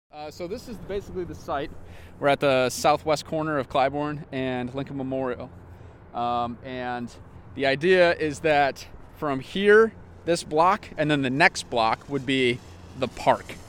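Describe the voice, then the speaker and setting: A man with a plain, everyday voice and an American accent speaks at a fairly slow pace in a fairly high pitch with ordinary pitch variation and big swings in loudness. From Wisconsin. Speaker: urbanist and project founder, former Marine. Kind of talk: tour guide walking the site, pointing out landmarks; casual interview. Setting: outdoors on location by the freeway spur. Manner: conversational, fairly fluent with filler words.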